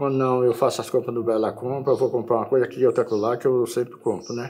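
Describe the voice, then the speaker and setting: At a very fast pace, a man speaks with a medium pitch and a dark, mellow tone. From Alagoas, northeastern Brazil (Viçosa, raised in Arapiraca). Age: 80s+. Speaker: elderly local resident interviewed for documentary. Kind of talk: interview, life story. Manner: halting, repeats words; casual, colloquial.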